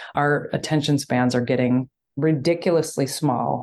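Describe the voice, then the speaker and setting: Delivered at a moderate pace, the words come through against a quiet background. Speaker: podcast host. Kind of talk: casual chat interview. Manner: animated, enthusiastic, excitable.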